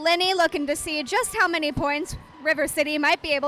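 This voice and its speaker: A woman speaks at a fairly quick pace in a raised, projected voice with a high pitch. Noticeable background noise runs under her. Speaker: roller derby announcer and skater. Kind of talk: live commentary.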